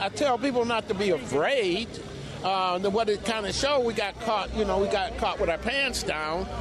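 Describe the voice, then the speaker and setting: Over noticeable background noise, a man with an American accent and a high pitch talks at a moderate pace, with ordinary pitch variation and very even loudness. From Buffalo, New York. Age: 70s. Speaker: war veteran. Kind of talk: street interview. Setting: outdoors. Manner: halting.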